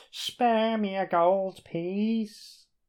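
Over a quiet background, a man performs a put-on character voice, croaky and high-pitched. His intonation stays monotone and flat. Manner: begging.

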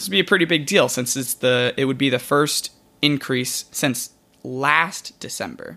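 Speaking at a moderate pace, a man has a fairly high pitch, a bright, sharp tone and ordinary pitch variation. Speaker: podcast host. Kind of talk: scripted narration.

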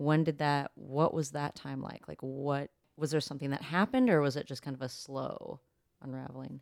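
A woman's very deep, low voice with fairly even intonation and big swings in loudness. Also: moderate pace. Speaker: podcast host. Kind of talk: podcast interview.

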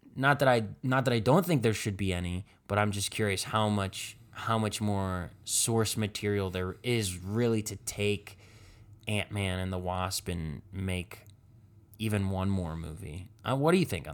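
In a very clean recording with a silent background, a man with an American accent talks at a fairly slow pace in a fairly low voice, an ordinary speaking voice. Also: ordinary pitch variation. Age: 20s. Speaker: podcast host. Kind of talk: casual chat.

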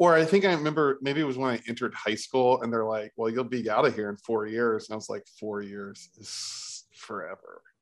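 This man has an ordinary speaking voice, with ordinary pitch variation and a moderate tempo. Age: 40s. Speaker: podcast co-host. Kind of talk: casual chat.

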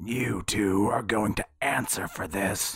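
In a put-on character voice, a man sounds gravelly and raspy, with a fairly low pitch, fairly even intonation and a fairly slow pace. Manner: menacing, accusing.

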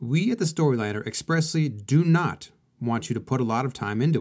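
With lively intonation and a fairly quick pace, a man talks in a plain, everyday voice. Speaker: podcast host. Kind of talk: scripted podcast intro and outro with ad read.

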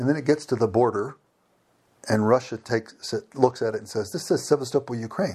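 Someone speaks in a somewhat breathy voice with an American accent. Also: man. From Virginia, US. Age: 50s. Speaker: engineer and former missionary. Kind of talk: interview. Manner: hesitant, with fillers and repetitions.

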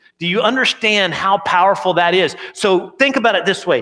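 A man talks in a raised, projected voice with high pitch and lively intonation. His tone is bright and sharp. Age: 40s. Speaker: pastor. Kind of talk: sermon.

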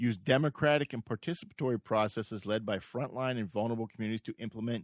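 On a very clean recording with a silent background, a man at medium pitch speaks at a very fast pace with ordinary pitch variation. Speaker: podcast co-host. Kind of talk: casual political debate.

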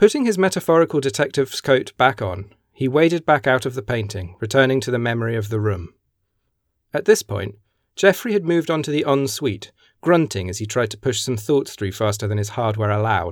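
A man with a British accent speaks at a medium pitch with very wide pitch swings. The recording is very clean with a silent background. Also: fairly quick pace. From Britain. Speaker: neuroscientist and short story author. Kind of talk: audiobook narration of own story; casual interview chat. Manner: performed narration with character voices.

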